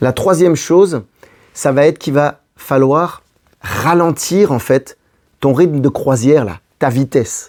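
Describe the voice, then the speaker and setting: At a very slow pace, a man talks with a fairly high pitch and ordinary pitch variation. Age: 40s. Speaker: relationship coach. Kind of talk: advice video monologue. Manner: casual, conversational.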